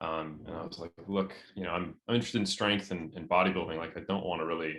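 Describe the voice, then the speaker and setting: A man with an American accent talks at a very fast pace. His pitch is very deep and low, and his intonation stays fairly even. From California. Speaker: sports scientist and natural bodybuilder. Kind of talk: podcast interview. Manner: casual, many fillers.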